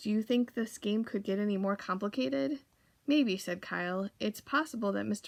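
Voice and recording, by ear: Reading aloud in a natural voice with ordinary pitch variation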